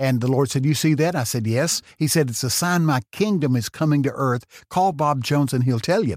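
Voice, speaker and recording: A man with a Texan accent, fairly high in pitch, at a fairly quick pace with hardly any pauses, animated in tone with ordinary pitch variation, on a very clean recording with a silent background. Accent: Texan Southern US. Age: 70s. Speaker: preacher. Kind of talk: testimony. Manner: fast talker; animated storyteller.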